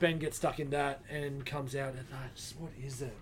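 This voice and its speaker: A man with an Australian accent, fairly high in pitch, talking at a fairly slow pace amid audible room echo. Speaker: comic shop podcast co-host. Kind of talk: casual chat. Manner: mumbles.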